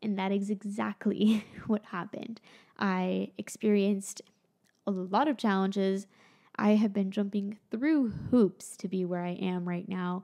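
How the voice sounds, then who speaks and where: In an American accent, a woman speaks at a fairly slow pace with a medium pitch, a dark, mellow tone and fairly even intonation, over a quiet background. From Florida. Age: 20s. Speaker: YouTuber and musician; YouTuber. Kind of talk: vlog monologue. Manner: casual, conversational. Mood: reflective, candid. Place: home room. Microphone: studio mic.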